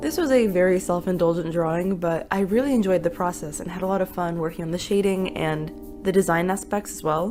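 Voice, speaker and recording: Fairly quick speech from a woman at medium pitch, with ordinary pitch variation and music in the background. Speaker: artist. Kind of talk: casual voiceover narration.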